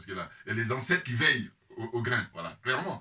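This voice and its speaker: Over noticeable background noise, a man at medium pitch speaks in an animated tone. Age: 50s. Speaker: political commentator. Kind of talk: casual monologue. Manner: hesitant.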